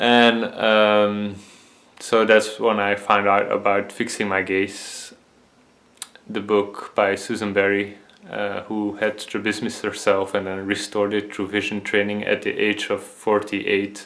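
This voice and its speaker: A man speaks with a Dutch accent at a fairly low pitch, in a flat monotone. His pace is fairly slow, with noticeable background noise behind him. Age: 20s. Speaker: vision health video creator. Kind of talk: personal testimony. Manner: halting, many fillers.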